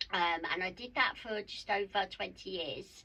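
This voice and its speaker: A woman speaks with a South East London accent. Her tone is bright and sharp, and her pace is fairly slow. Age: 50s. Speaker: mindset mentor and wellbeing coach. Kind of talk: podcast interview.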